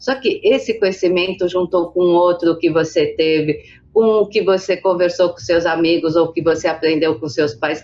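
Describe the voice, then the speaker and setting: A woman with a plain, everyday voice talks at a fairly low pitch with ordinary pitch variation. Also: moderate pace. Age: 60s. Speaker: business association president. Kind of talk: interview.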